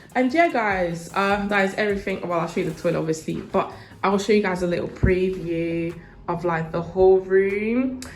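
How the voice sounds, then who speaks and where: A woman with a British accent, with audible room echo. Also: medium pitch for a woman. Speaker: university student vlogger. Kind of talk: casual vlog room tour. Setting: indoors, student studio flat. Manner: fast.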